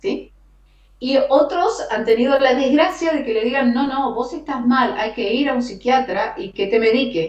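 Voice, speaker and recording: Against noticeable background noise, a woman speaks slowly in an Argentine accent at a high pitch. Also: lively intonation. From Argentina. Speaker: radio announcer and host. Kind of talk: interview answer.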